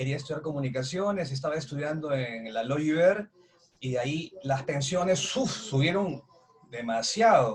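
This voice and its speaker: A man talks at a moderate pace and a fairly high pitch. Noticeable background noise runs behind him. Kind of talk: interview host.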